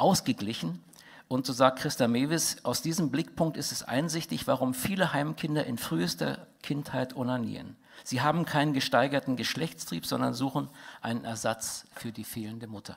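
Vocal fry marks this man's voice at a moderate pace. The background is quiet. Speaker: conference speaker. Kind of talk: lecture. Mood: indignant, critical. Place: hall. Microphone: headset.

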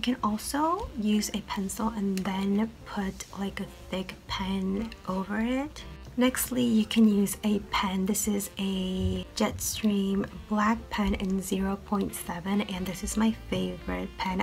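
A woman whispers at a very slow pace. Faint music plays in the background. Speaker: medical student. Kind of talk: tutorial talk to camera. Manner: whispered. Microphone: webcam.

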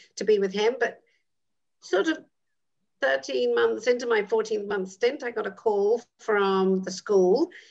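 A woman speaks with a British accent against a quiet background. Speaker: midwife, actress and educator; dean of student life. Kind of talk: interview answer. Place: home room. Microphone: video call.

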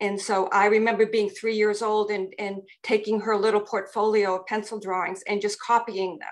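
The speaker has an American accent and a monotone, flat intonation, with hardly any pauses at a moderate pace. The background is quiet. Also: woman. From Massachusetts. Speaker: painter. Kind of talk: group panel discussion. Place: home room. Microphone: video call.

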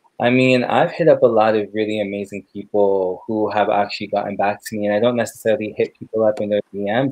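Speaking at a fairly quick pace in a Toronto accent, a man keeps a fairly low pitch and fairly even intonation, with a dry sound that has no echo. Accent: Canadian (Toronto). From Canada, raised in Brampton, Ontario; Ontario, Canada. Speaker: filmmaker and photographer; interview guest. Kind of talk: interview. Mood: relaxed, friendly. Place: home room. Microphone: video call.

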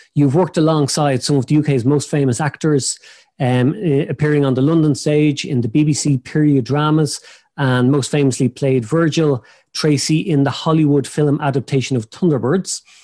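Over a quiet background, a dark, mellow tone moves at a moderate pace with very even loudness and fairly even intonation. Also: man. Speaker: podcast host. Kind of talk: introduction of a guest, partly read. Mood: friendly, light laughter. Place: office. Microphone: video call.

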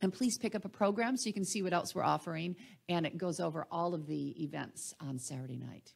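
Over a silent background in a very clean recording, a woman speaks at a fairly quick pace with lively intonation, vocal fry and a fairly low pitch. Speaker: literary festival organizer. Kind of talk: introductory speech. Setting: stage with audience.

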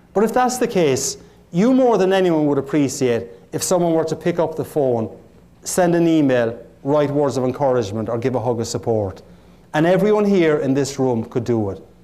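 With an Irish accent, a man speaks at a moderate pace in a dark, mellow tone, his pitch fairly high and his intonation lively. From Ireland. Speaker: motivational keynote speaker. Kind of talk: motivational keynote speech. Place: hall.

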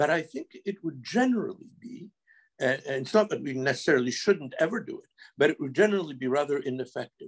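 A man talks at a very fast pace in a fairly high voice with very wide pitch swings. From Quebec. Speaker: lawyer. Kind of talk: panel discussion.

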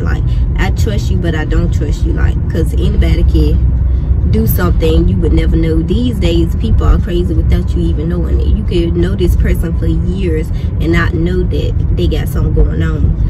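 Over loud background noise, a woman speaks at a moderate pace with ordinary pitch variation. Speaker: vlogger. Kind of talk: casual vlog chat. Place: car. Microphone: phone near.

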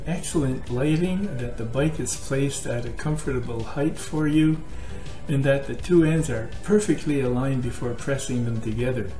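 A man speaks at a moderate pace with ordinary pitch variation. Clear music plays in the background, and the room echo is audible. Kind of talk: casual tutorial talk. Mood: calm, friendly advice. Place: kitchen. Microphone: webcam.

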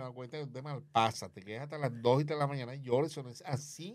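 Against a quiet background, a man with a fairly high pitch talks very fast with fairly even intonation. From Colombia, Barranquilla (Caribbean coast); Colombia. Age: 60s. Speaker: comedian and former media personality; comedian. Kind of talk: interview, life story. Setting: studio. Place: studio. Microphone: studio mic.

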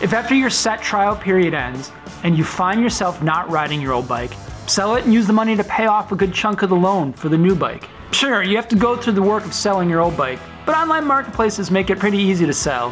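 Clear music plays in the background as a man talks at a very fast pace. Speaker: motorcycle vlogger. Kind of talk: casual vlog chat. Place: home room.

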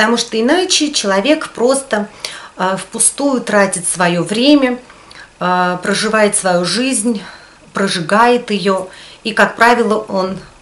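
Her voice sits at a medium pitch as this woman speaks at a very slow pace. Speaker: video blogger. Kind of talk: casual talk to camera. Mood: calm, reflective. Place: home room.

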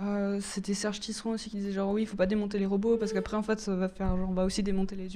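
At a very fast pace, a woman talks at a medium pitch in a monotone, flat intonation. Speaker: gender and robotics researcher; guest. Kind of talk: panel debate. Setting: stage with audience. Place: stage. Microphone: handheld.

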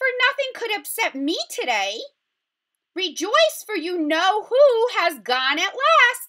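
Squeaky and put-on, a woman's character voice swings very widely in pitch at a fairly slow pace. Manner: gleeful, jubilant.

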